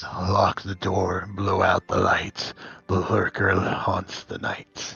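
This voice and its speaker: A man's raspy, very deep and low put-on character voice at a very slow pace, with faint music in the background. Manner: menacing.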